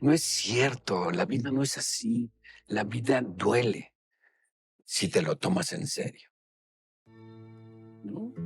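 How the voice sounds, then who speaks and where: With music in the background, a man at a medium pitch speaks at a very slow pace with lively intonation and long, frequent pauses. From Mexico City. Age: 70s. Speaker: theatre actor and director. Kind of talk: casual interview chat. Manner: halting, repetitive.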